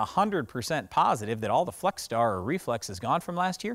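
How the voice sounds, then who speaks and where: The background is quiet as a man speaks at a moderate pace. His pitch swings very widely. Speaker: farm show host. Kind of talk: explanatory commentary to camera. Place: open country.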